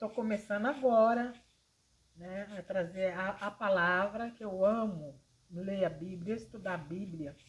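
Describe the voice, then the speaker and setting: A woman's somewhat breathy voice at a medium pitch and fairly slow pace, with ordinary pitch variation and big swings in loudness. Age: 60s. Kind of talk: informal religious talk to camera. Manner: hesitant, with fillers.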